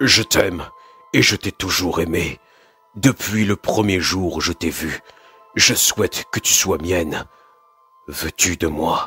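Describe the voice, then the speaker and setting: A put-on character voice moves at a fairly slow pace with long, frequent pauses while faint music plays in the background. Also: man, very deep, low pitch for a man. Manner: earnest and hesitant in the confession, bitter and bold later.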